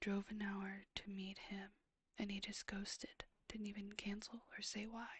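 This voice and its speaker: Whispering and soft-spoken, the voice moves at a fairly slow pace. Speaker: ASMR streamer. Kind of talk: ASMR reading of questions. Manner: whispered, soft-spoken.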